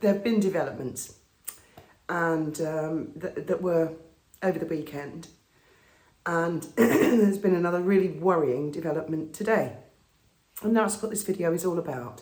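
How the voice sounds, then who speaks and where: In a raspy, put-on character voice at a middle pitch, the speaker moves at a moderate pace with long, frequent pauses. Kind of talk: casual vlog address to viewers.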